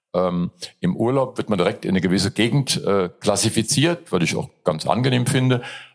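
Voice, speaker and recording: A man at medium pitch talks at a fairly quick pace, his pitch swinging very widely while his loudness stays very even. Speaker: comedian. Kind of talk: casual interview.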